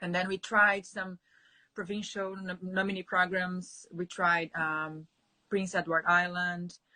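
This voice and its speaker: Her tone is bright and sharp, with a Portuguese accent. The woman talks fairly slowly in a flat, monotone way. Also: medium pitch for a woman. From Brazil. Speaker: immigrant sharing her story. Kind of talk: interview. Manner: halting.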